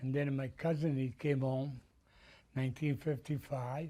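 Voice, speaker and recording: With an Italian accent, a man speaks fairly slowly in a dark, mellow tone at medium pitch with fairly even intonation. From Italy. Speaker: Italian immigrant, retired construction business owner. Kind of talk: oral history interview. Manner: halting.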